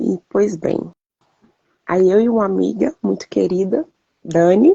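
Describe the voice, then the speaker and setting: The recording of a woman has a dry, close sound with no echo. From Brazil, Brasília. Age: 40s. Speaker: civil servant. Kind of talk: interview testimony.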